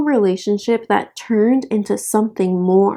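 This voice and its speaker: A woman with an American accent speaks at a fairly slow pace. The recording is very clean, with a silent background. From North Carolina, US South. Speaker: YouTuber. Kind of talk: casual commentary. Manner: animated.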